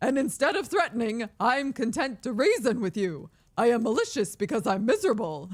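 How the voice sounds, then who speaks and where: A put-on character voice with a theatrical tone and fairly high pitch. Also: fairly quick pace. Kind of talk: archaic literary. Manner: miserable, reasoning, theatrical.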